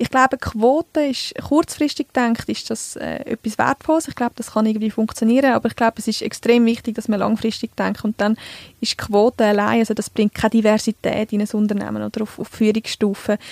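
Recorded with a dry, close sound and no echo, a woman speaks at a fairly quick pace with fairly even intonation and hardly any pauses. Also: fairly high pitch for a woman. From central Switzerland, Canton Uri. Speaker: communications staff, podcast co-host. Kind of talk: casual chat. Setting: studio. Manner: clear articulation.

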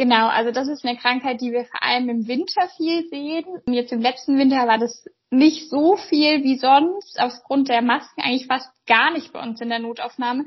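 The pace of this woman's speech is moderate. Her voice sits high in pitch, with ordinary variation. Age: 20s. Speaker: pediatric doctor. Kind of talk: interview.

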